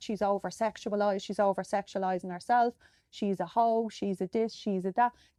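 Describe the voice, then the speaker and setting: A woman with an Irish accent speaks at a fairly quick pace in a dark, mellow tone at medium pitch with ordinary pitch variation, the sound dry and close with no echo against a quiet background. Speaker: podcast host. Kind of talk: podcast monologue. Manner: conversational, some hesitations.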